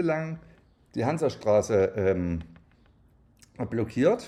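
This man's dark, mellow voice moves through very wide pitch swings. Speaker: podcast co-host. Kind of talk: casual chat. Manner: soft-spoken.

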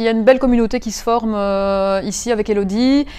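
Fairly high female voice, intonation fairly even. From Belgium, Mons. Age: 30s. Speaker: property investor. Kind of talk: interview. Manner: halting.

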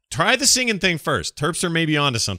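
This voice moves at a moderate pace with very wide pitch swings and a playful, bright, sharp tone, recorded dry and close with no echo against a silent background in a very clean recording. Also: man. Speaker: podcast host. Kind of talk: casual comedic advice chat. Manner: joking, playful.

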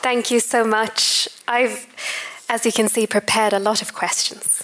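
A woman talks at a moderate pace in a fairly high voice. There is noticeable background noise. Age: young. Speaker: interviewer and doctoral researcher. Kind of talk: onstage interview. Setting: stage with audience.

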